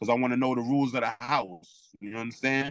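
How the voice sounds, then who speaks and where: A man talks very fast in a Brooklyn accent, his pitch medium and his intonation fairly even. The sound is dry and close, with no echo. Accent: New York (Brooklyn). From Brooklyn, New York. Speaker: former prisoner. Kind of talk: interview storytelling. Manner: loud, projecting; halting, many restarts.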